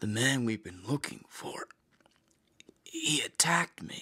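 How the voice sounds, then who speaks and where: Whispering at a fairly slow pace, a man uses a raspy, put-on character voice. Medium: audio drama.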